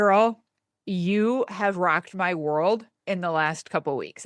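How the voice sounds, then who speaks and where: A woman speaks with a Michigan accent at a fairly low pitch. Her pitch varies in an ordinary way against a quiet background. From Michigan, United States. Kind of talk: casual, chatty. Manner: excited, enthusiastic.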